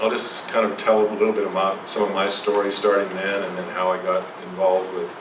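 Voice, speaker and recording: Through noticeable background noise and audible room echo, a man talks fairly quickly at a fairly low pitch, monotone and flat. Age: 70s. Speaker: psychotherapist. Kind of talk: lecture. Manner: halting.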